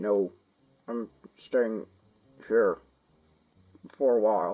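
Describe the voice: A man puts on a strained character voice at a medium pitch, speaking very slowly.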